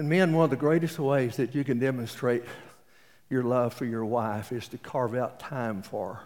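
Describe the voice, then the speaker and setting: On a very clean recording with a silent background, a man with a Texas accent speaks at a medium pitch and moderate pace with ordinary pitch variation. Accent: Texas Southern US. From East Texas. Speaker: pastor. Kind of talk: sermon.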